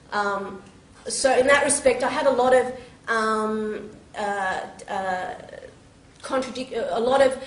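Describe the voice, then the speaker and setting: Speaking in an Australian accent, a woman uses a high pitch with fairly even intonation. Audible room echo surrounds her voice. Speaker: teacher and convert speaker. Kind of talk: public talk, testimony. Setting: stage with microphone and audience. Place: hall. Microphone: camera far.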